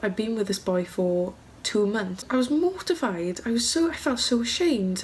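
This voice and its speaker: With a Welsh accent, a woman talks at a moderate pace while her pitch swings very widely. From South Wales. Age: young. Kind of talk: casual vlog talk to camera.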